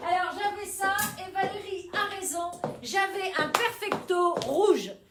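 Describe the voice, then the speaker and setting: A woman speaks loudly at a very slow pace in an extremely high voice. Audible room echo surrounds her. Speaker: boutique owner. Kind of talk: live sales stream. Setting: Facebook live video. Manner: animated.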